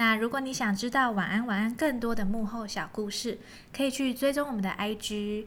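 A woman's normal speaking voice at a moderate pace, with fairly even intonation. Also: fairly high pitch for a woman. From Taiwan, Kaohsiung. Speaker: podcast host, storyteller. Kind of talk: show outro; bedtime story reading and casual chat.

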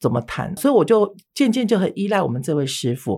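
A woman at moderate pace with very wide pitch swings, in a very clean recording with a silent background. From Taiwan, mainlander family. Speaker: beauty instructor and spirit medium. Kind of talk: interview storytelling.

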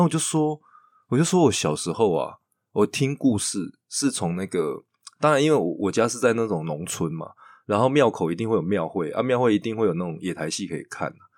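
A man with a Taiwanese accent at medium pitch, very wide pitch swings, on a very clean recording with a silent background. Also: fairly quick pace. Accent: Taiwanese Mandarin. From Taiwan, Chiayi. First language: Taiwanese Hokkien (speaking Chinese). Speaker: theatre director. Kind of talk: casual interview chat.

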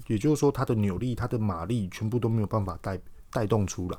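A man with a Taiwanese accent speaks at a fairly low pitch in a dark, mellow tone, with ordinary pitch variation. The recording is very clean, with a silent background. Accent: Taiwanese Mandarin. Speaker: podcast host. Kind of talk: casual explanatory monologue. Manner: hesitant, many filler words.

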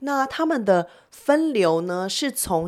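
The pitch moves in very wide swings. Noticeable background noise sits behind the voice. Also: woman. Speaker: marketing executive. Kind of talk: interview.

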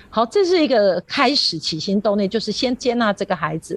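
A woman speaks fairly quickly at a medium pitch with lively intonation, somewhat breathy. The sound is dry and close, with no echo. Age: 50s. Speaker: primary school teacher. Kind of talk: radio interview.

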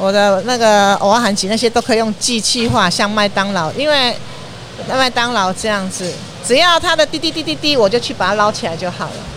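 A woman's fairly high voice at a moderate pace over noticeable background noise. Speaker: snack stall owner, retired educator. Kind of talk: interview. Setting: at a food stall on location.

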